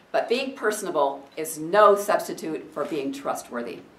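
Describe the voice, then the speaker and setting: A woman speaks at a moderate pace with very wide pitch swings. Noticeable background noise and audible room echo are present. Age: 60s. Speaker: political candidate. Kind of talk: campaign speech. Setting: room with audience.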